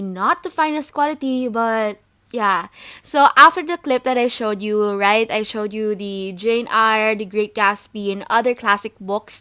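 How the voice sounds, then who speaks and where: A woman with a Filipino accent, fairly high in pitch, with a bright, sharp tone and a moderate pace, on a very clean recording with a silent background. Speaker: book vlogger. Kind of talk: casual voiceover commentary.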